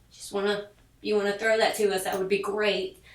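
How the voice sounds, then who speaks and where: Heard with audible room echo and noticeable background noise, a woman talks at a medium pitch. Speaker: sewing machine product demonstrator. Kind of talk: product tutorial. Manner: chatty, casual.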